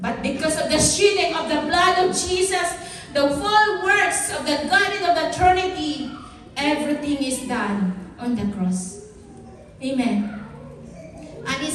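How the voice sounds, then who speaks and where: A woman with a Filipino accent speaks loud and high, with very wide pitch swings at a fairly slow pace. Noticeable background noise and audible room echo fill the recording. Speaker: pastor. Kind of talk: sermon.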